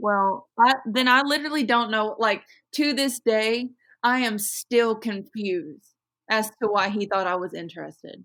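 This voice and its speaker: A woman with a Southern accent speaks at a fairly slow pace, her pitch fairly high with ordinary variation. Her tone is bright and sharp, in a very clean recording with a silent background. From Kentucky. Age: 20s. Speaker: podcast co-host. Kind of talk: casual chat.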